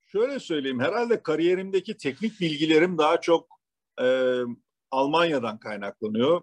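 A man speaks at a moderate pace in a fairly high pitch, with very wide pitch swings. The sound is dry and close, with no echo. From Turkey (Eskişehir, Istanbul). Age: 60s. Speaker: automotive quality executive. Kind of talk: interview. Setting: remote call. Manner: halting, frequent fillers.

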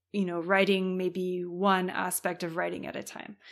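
A woman speaks in a Californian accent. The recording is very clean, with a silent background. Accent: American (Californian). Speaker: writing coach. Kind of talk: interview conversation.

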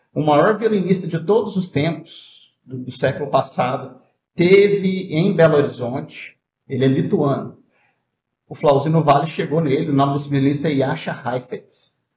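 This man's voice sits fairly high and is somewhat breathy. He talks at a moderate pace. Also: ordinary pitch variation. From southern Minas Gerais, Brazil (Itajubá). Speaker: violinist and music professor. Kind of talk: casual interview chat.

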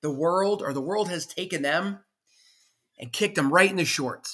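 On a very clean recording with a silent background, a man speaks loudly at a moderate pace, his bright, sharp tone passionate and confident, with very wide pitch swings. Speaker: podcast host. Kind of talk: motivational solo monologue. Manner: loud, passionate, confident; animated, motivational.

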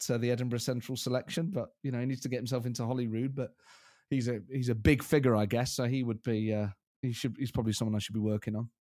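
Very fast speech with a dark, mellow tone and fairly even intonation, recorded very cleanly against a silent background. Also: man. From Scotland. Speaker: impressionist comedian. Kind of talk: casual chat.

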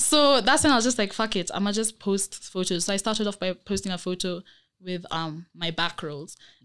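An unremarkable speaking voice from a woman at medium pitch, lively intonation, very clean recording with a silent background. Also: fairly quick pace. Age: young. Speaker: podcast guest on body positivity. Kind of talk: casual chat.

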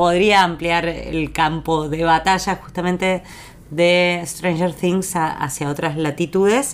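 With fairly even intonation, a woman talks at a very slow pace. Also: fairly low pitch for a woman. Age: 40s. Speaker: podcast co-host. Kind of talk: casual chat.

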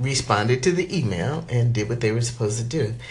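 Music plays in the background. The speaker has an animated tone and lively intonation. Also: woman. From New Jersey. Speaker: vlogger. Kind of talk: casual vlog monologue.

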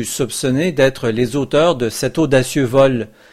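At a fairly slow pace, a man speaks in an ordinary speaking voice at a medium pitch, with ordinary pitch variation. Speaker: podcast host reading historical news. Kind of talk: period news recap, read like a radio newscast. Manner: formal, measured, steady newsreader delivery.

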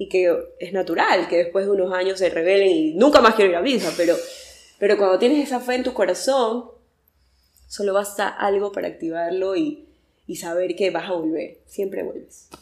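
A woman with a normal speaking voice and a medium pitch talks at a moderate pace with ordinary pitch variation. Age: 30s. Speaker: communications worker and faith content creator. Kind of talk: casual interview.

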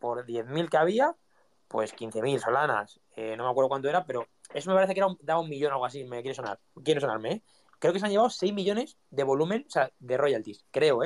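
The speaker talks at a very fast pace with a Spanish accent. The intonation is lively. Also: man, fairly high pitch for a man. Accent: Peninsular Spanish. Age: 20s. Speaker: content creator and NFT collection founder. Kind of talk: casual interview chat.

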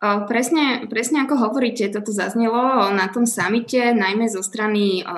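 A woman speaks at a fairly slow pace with ordinary pitch variation. Her voice sits fairly high. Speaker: podcast host. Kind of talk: interview.

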